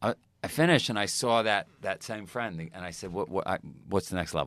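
A man's very deep, low voice in a New York accent, very fast-paced, with ordinary pitch variation. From US Northeast, Queens, New York. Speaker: fitness company founder. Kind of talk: casual chat.

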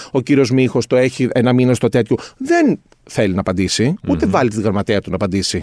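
A man talks at a moderate pace, his voice sounding dry and close with no echo. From Greece, northern Athens suburbs. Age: 50s. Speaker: concept maker. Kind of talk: casual chat.

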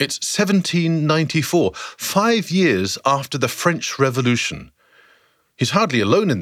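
A man with a fairly high pitch and vocal fry speaks at a fairly slow pace. His pitch swings very widely on a very clean recording with a silent background. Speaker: narrator of a historical podcast series. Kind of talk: scripted dramatic narration, storytelling. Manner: vivid, dramatic, storyteller's pacing; inviting, guiding the listener through the scene.

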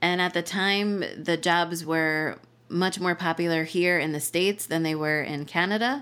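With an American accent, a woman speaks at a fairly slow pace. Her pitch varies in an ordinary way. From South Jersey, US. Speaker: podcast guest, convert to Judaism. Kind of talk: interview storytelling.

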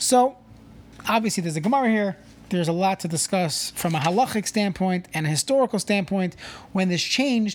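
A woman speaks at a fairly quick pace in an ordinary speaking voice. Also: medium pitch for a woman, lively intonation. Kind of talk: mock street-vendor pitch inside a reflective Torah talk.

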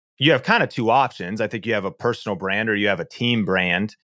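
A man with a fairly low pitch speaks at a fairly quick pace, his tone bright and sharp and his pitch varying in an ordinary way, on a very clean recording with a silent background. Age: 30s. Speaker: YouTube trainer. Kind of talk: interview.

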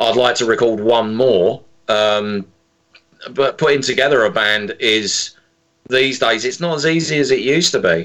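Speaking at a moderate pace with an English accent, the voice keeps a very even loudness and ordinary pitch variation. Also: man, medium pitch for a man. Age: 50s. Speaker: singer-songwriter and drummer. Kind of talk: interview. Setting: phone call.

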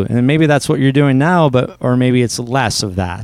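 Heard on a very clean recording with a silent background, a man with a plain, everyday voice and a Canadian accent talks at a moderate pace, medium in pitch with ordinary pitch variation. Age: 30s. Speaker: personal finance coach. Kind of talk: interview.

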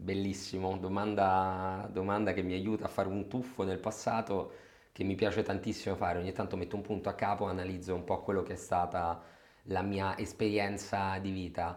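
Speaking at a moderate pace, a man delivers his words in a very deep, low pitch with monotone, flat intonation. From Rome, Italy. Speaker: general manager of a research firm. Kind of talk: interview. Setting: office.

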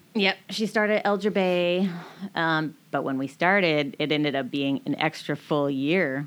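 A woman's bright, sharp voice with an American accent, fairly low in pitch and at a fairly slow pace, in a very clean recording with a silent background. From Washington State, US (Marysville). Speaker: clothing store owner. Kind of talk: interview. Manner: animated.

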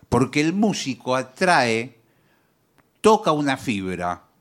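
Speaking at a very slow pace, a man uses a medium pitch with very wide pitch swings. The recording is very clean, with a silent background. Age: 60s. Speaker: radio co-host. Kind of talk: comic radio chat.

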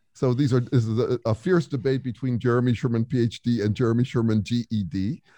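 At a very fast pace with hardly any pauses, a man talks at medium pitch in a dark, mellow tone. His pitch varies in an ordinary way, and the sound is dry and close with no echo. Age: 60s. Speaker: author and researcher. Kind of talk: casual interview.

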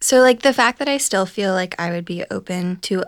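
With a Midwestern American accent, a woman speaks at a medium pitch with ordinary pitch variation. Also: very clean recording, silent background. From US Midwest, Ohio. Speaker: podcast producer. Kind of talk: casual chat.

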